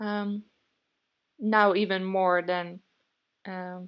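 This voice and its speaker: Against a quiet background, a woman speaks with a Dutch accent. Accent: non-British, Dutch. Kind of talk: casual talk to camera.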